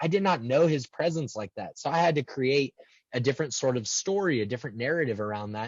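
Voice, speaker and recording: With lively intonation, the man races along at a very fast pace. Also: medium pitch for a man. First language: American Sign Language. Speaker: transpersonal psychologist. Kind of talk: interview. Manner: halting, many repeated words.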